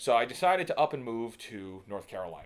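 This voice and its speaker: A man with a New York accent, talking at a moderate pace. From New York City (Staten Island). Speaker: digital marketer and filmmaker. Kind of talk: podcast interview. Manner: halting, many fillers and repeats.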